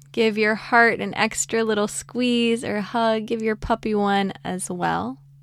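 A woman with an unremarkable speaking voice talks at a fairly slow pace with hardly any pauses. Her pitch is fairly high, with ordinary variation. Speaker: podcast host and meditation guide. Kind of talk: guided meditation; casual, playful podcast intro with puns. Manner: slow, soothing, calm; gentle, warm, reassuring.

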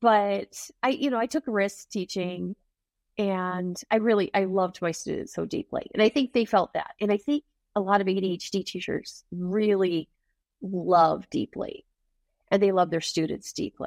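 A woman's plain, everyday voice at medium pitch, moderate pace and ordinary pitch variation, with dry, close sound and no echo. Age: 50s. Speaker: ADHD coach and author. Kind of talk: interview conversation.

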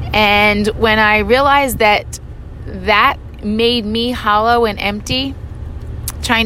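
Fairly high female voice against noticeable background noise. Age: 50s. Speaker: podcast host and gym owner. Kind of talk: solo monologue. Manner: casual, frequent filler words.

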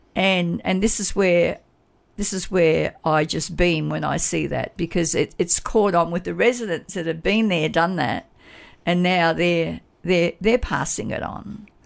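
On a very clean recording with a silent background, a woman with an Australian accent speaks at a fairly low pitch with vocal fry and ordinary pitch variation. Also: fairly slow pace. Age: 70s. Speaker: community volunteer advocate for seniors. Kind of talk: radio interview. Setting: radio studio.

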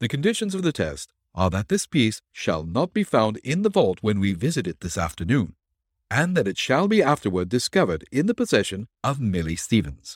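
A man's put-on character voice, fairly low in pitch with very wide pitch swings and a slightly husky edge, at a moderate pace, dry and close with no echo, in a very clean recording with a silent background

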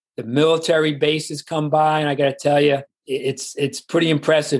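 His pace stays moderate. This man talks in a New York accent. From New York, the Bronx. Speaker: retiree. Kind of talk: interview.

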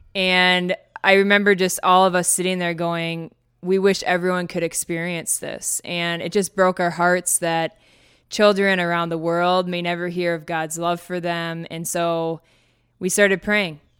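With an Upper Midwest accent, a woman speaks at a fairly low pitch in a monotone, flat intonation, on a very clean recording with a silent background. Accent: Upper Midwest American. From Minnesota, US Upper Midwest. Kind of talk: personal testimony. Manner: frequent laughter.

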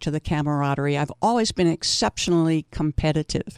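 An unremarkable speaking voice from a woman, fairly low in pitch and fairly quick, with a dry, close sound with no echo on a very clean recording with a silent background. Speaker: senior softball player. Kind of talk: interview.

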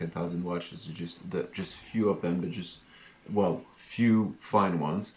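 Speaking with a French accent, a man keeps a moderate pace. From France. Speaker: podcast co-host, watch collector. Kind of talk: casual chat. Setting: remote call.

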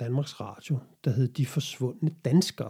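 A man with a dark, mellow tone talks at a fairly slow pace, his pitch varying in an ordinary way. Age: 40s. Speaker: podcast host. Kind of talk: solo monologue podcast. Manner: hesitant.

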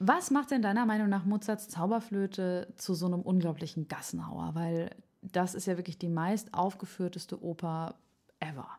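A plain, everyday voice from a woman, medium in pitch, at a moderate pace with ordinary pitch variation. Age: 20s. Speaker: opera singing student and podcast co-host. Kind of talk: casual chat; scripted narration of opera plot.

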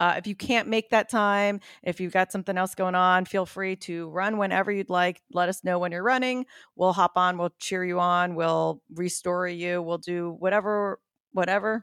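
An unremarkable speaking voice comes at a moderate pace in a dry, close sound with no echo, on a very clean recording with a silent background. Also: woman, medium pitch for a woman. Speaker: podcaster and running event organizer. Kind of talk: casual chat.

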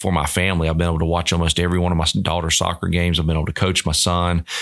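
At a very fast pace, a man talks in a very deep, low pitch. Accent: American. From Georgia, US South. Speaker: college baseball coach. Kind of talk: interview.

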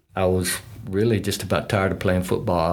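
A man with a Texas accent, very deep and low in pitch, with ordinary pitch variation. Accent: Texas Southern. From West Texas, small town. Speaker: retired utility manager, former college football player. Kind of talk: interview storytelling. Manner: hesitant, many fillers.

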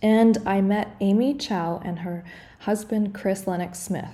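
A woman's somewhat breathy voice, dark and mellow in tone, with fairly even intonation. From Canada. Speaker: podcast co-host, breathwork facilitator. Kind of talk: casual interview.

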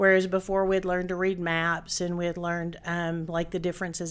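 With a Tennessee accent, a woman talks at a very fast pace. Her fairly low voice stays flat and monotone. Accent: Southern US (Tennessee). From Chattanooga, Tennessee, US South. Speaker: restaurant franchisee. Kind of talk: interview.

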